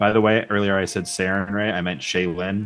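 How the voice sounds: A man speaks at a low pitch with little pitch movement. His pace is fairly quick and his tone fairly bright.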